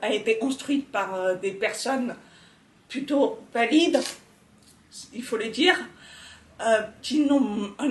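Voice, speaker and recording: A woman talks very slowly, and her pitch rises and falls in an ordinary way. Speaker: deaf accessibility speaker. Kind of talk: interview answer. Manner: hesitant, many fillers.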